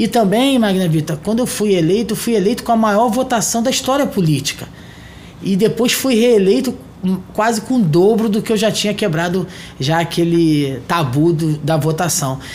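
Over noticeable background noise, a man with a high pitch speaks at a moderate pace, his intonation lively and his loudness very even. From Rio de Janeiro state, Brazil. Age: 40s. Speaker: mayor. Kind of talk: interview. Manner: formal.

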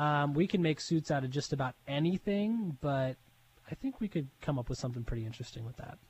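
Lively intonation at a fairly quick pace, somewhat breathy throughout. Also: man, fairly high pitch for a man. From Pittsburgh, Pennsylvania. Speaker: tailor shop owner. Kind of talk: interview.

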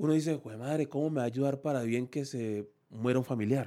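A man talks at a moderate pace in a normal speaking voice, medium in pitch with fairly even intonation. The recording is very clean, with a silent background. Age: 40s. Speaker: salsa musician. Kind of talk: casual interview chat. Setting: studio.

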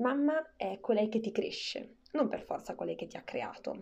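Her pace moderate and her pitch variation ordinary, a woman talks in a normal speaking voice. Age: 20s. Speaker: podcast host. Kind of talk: scripted narration.

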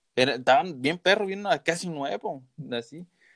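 His intonation is lively. The pitch of this man's voice is high. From southern Zacatecas, Mexico. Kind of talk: casual chat. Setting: remote call.

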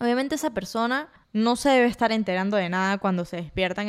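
A woman talks at a fairly quick pace with a Venezuelan accent. Her pitch is medium, and the recording is very clean with a silent background. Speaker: podcast host. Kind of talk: solo casual monologue. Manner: animated.

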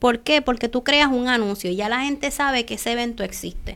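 A woman talks at a moderate pace in a high voice with ordinary pitch variation, recorded very cleanly against a silent background. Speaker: entrepreneur and author. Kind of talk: interview. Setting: live stream.

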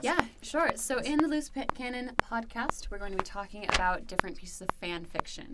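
Against noticeable background noise, a woman speaks at a moderate pace with lively intonation. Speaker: podcast co-host. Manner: polished customer service tone.

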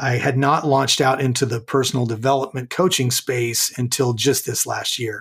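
A man with an American accent, a normal speaking voice, medium pitch, a moderate pace and fairly even intonation. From US West (Southern California). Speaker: author and leadership coach. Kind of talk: interview.

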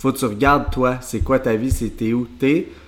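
In a Quebec accent, a man with a medium-pitched voice talks at a moderate pace with fairly even intonation. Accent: Québécois French. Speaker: podcast co-host, entrepreneur. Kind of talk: casual chat.

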